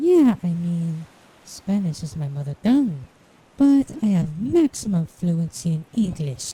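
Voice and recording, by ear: A woman's cartoonish character voice, fairly low in pitch, fairly slow, with very wide pitch swings.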